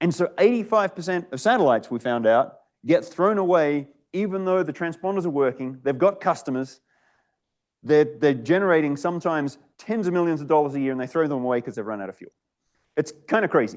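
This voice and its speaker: A man with a fairly high pitch speaks at a fairly quick pace with lively intonation and big swings in loudness against a quiet background. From Australia. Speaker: startup founder and CEO. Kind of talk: startup pitch talk to a live audience. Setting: event with live audience. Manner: casual, conversational.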